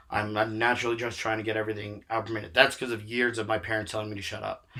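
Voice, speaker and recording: A man talks very fast in a fairly low, flat monotone over noticeable background noise. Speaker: stand-up comedian. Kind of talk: casual chat.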